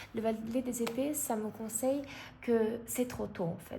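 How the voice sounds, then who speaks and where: A woman's fairly high voice at a very slow pace, with a non-native accent, fairly even intonation and audible room echo. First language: not French (speaking French). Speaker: tarot card reader. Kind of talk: tarot reading. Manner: halting, many fillers.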